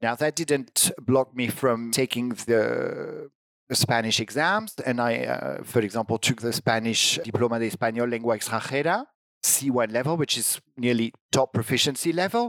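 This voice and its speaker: In a French accent, a man speaks at medium pitch and a moderate pace with ordinary pitch variation, the sound dry and close with no echo. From France. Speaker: language teaching director. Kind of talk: interview conversation. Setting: online video call.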